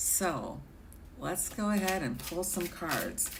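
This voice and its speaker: Audible room echo follows a woman speaking at a very slow pace. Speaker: tarot reader. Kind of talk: live-stream tarot reading. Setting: live stream with chat. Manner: hesitant, filler-heavy.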